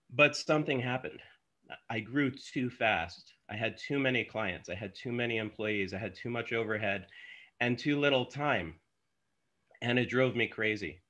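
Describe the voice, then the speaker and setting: With a bright, sharp tone and ordinary pitch variation, a man speaks at a moderate pace against a quiet background. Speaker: podcast guest. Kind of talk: interview answer. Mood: reflective storytelling. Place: home room. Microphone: earbuds.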